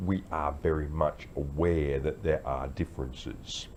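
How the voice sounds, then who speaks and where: Vocal fry marks a man's very deep, low voice in an Australian accent. He talks at a fairly slow pace. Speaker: vlogger, army veteran. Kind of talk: casual talk to camera. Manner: halting, many fillers.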